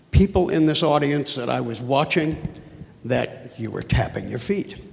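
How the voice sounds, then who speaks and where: A man's voice amid noticeable background noise. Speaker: audience member asking question. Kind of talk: audience Q&A.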